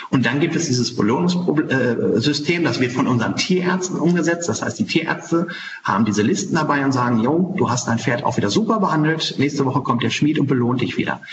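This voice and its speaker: Amid noticeable background noise and audible room echo, a man with a fairly high pitch talks at a fairly quick pace with lively intonation, very even loudness, and hardly any pauses. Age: 40s. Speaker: farrier and animal welfare charity leader. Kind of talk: interview. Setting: video call.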